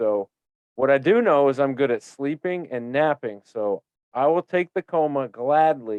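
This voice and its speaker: This man has a normal speaking voice and a fairly high pitch. He talks at a moderate pace with ordinary pitch variation. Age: 30s. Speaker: podcast host. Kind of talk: casual interview chat.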